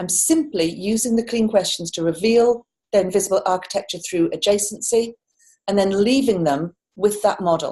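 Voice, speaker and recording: With a British accent, a woman speaks fairly quickly in a medium pitch, her somewhat breathy voice dark and mellow in tone, with lively intonation. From United Kingdom. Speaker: coach and culture change facilitator. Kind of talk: conference talk. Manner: fast; animated.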